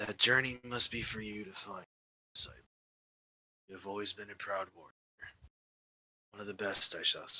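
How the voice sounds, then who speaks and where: A man puts on a raspy character voice at medium pitch. He moves at a fairly quick pace but leaves long, frequent pauses. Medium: actual play. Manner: solemn, measured.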